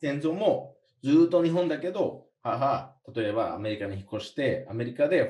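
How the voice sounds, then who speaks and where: Somewhat breathy and dark, mellow in tone, this voice moves at a fairly slow pace with lively intonation. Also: man. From USA. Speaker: podcast co-host. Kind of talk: casual chat.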